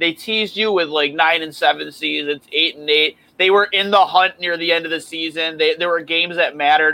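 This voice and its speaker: A loud man with a high voice talks at a fairly quick pace with hardly any pauses and fairly even intonation. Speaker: hockey podcast host. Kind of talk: casual chat.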